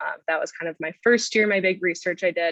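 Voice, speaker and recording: A woman with a Minnesota accent and a medium pitch talks at a fairly quick pace. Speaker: graduate student. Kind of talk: panel presentation.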